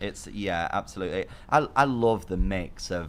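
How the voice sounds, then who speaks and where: This man has an English accent and a fairly low pitch. He speaks at a moderate pace. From England. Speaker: real estate agent. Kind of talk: casual interview chat. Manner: halting, many repetitions and fillers.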